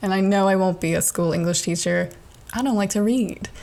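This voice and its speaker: At a fairly quick pace, a woman speaks with a medium pitch and ordinary pitch variation. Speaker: podcast host and aspiring comedian. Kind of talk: monologue. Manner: animated.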